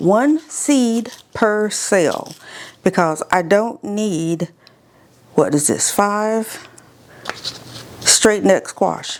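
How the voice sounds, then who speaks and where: There is noticeable background noise as a woman speaks at a medium pitch. Her pace is very slow, with long, frequent pauses. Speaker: home gardening video host. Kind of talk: casual tutorial. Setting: indoor seed room, windows open. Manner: chatty, animated.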